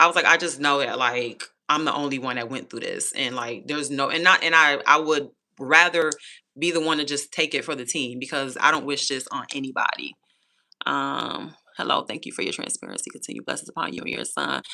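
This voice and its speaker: Talking at a fairly quick pace, a woman uses a very deep, low pitch with ordinary pitch variation, vocal fry, and a bright, sharp tone. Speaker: YouTuber sharing personal story. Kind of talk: live stream Q&A chat. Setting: live stream. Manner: casual, hesitant with many ums.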